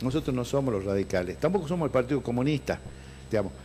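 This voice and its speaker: A man with lively intonation. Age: 60s. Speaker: lawyer and party politician. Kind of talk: interview. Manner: halting.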